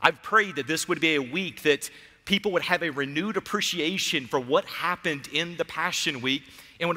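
A man at a moderate pace with ordinary pitch variation, over a quiet background. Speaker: pastor. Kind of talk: sermon. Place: church. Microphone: headset.

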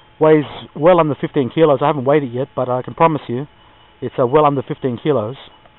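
A man at a fairly quick pace, with fairly even intonation and a dry sound with no echo. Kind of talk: casual vlog chat. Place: open country. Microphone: phone near.

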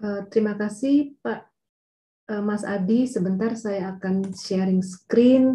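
Fairly even intonation carries speech that proceeds very slowly. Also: woman, medium pitch for a woman. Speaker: geophysicist speaker; speaker. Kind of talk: technical webinar presentation. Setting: video call. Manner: hesitant, many fillers. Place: home room. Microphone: webcam.

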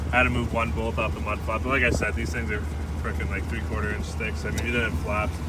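Talking at a very fast pace, a man sounds dry with no echo. Noticeable background noise is heard too. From Canadian Prairies. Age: 20s. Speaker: YouTuber. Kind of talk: casual vlog. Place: open country. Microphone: phone near.

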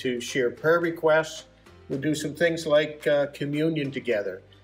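Faint music plays behind a man who talks at a moderate pace with fairly even intonation. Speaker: church pastor. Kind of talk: announcement to congregation. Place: hall. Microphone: camera far.

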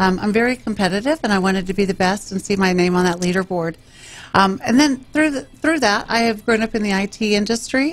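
A woman's fairly high voice with an American accent, at a fairly quick pace and with ordinary pitch variation. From Texas (Round Rock, central Texas); Texas. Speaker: mayor and political candidate; mayor, candidate. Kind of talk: radio interview. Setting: radio studio. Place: studio. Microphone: studio mic.

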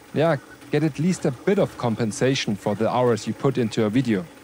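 Lively intonation marks this man speaking with a German accent. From Bavaria, Germany. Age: 40s. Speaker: 3D printing YouTuber. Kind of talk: casual chat; tutorial. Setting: workshop.

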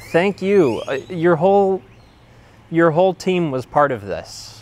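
A man with a high voice speaks very slowly with long, frequent pauses and lively intonation, the sound dry with no echo. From US Midwest, western suburbs of Chicago. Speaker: former patient sharing treatment experience. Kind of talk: personal testimony. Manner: halting, many fillers and repetitions. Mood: reflective, grateful. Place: garden. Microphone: lapel.

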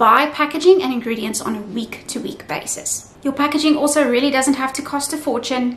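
A woman speaks at a fairly quick pace in a high, fairly bright voice with ordinary pitch variation, over faint background noise.

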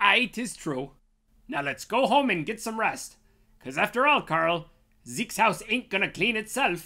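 A cartoonish character voice, female-sounding and fairly high in pitch, moves at a moderate pace in a very clean recording with a silent background. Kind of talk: comic overacting. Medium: puppet show. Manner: gleeful, gloating.

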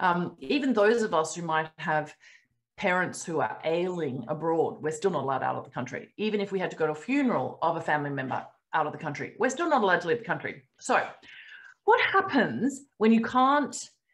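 A woman with an Australian accent talks at a fairly quick pace in a fairly low voice. Her pitch swings very widely against a quiet background. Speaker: company founder hosting a member webinar; webinar host. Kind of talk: casual webinar Q&A. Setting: video call. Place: home room. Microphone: webcam.

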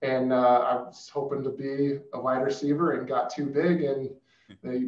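The speaker has an American accent and fairly even intonation. There is audible echo from the room. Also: man. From Arizona. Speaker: former NFL player, financial advisor; guest. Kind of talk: panel discussion. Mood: relaxed, friendly. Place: office.

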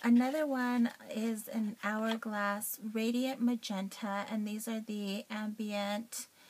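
Noticeable background noise sits under a very slow delivery with fairly even intonation. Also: woman. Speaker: beauty vlogger. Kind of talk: casual talk to camera.

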